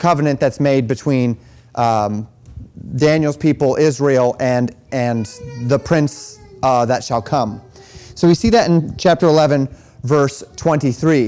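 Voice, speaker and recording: A man talks at a very slow pace with long, frequent pauses. Faint music sits in the background. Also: ordinary pitch variation. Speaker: pastor teaching a class. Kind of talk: lecture. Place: church. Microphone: lapel.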